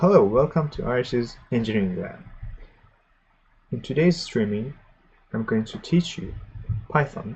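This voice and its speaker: A somewhat breathy man speaks at medium pitch and a moderate pace, with long, frequent pauses. His intonation is lively, and his loudness swings widely. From Iran. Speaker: programming streamer. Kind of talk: live tutorial stream. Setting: live stream. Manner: halting.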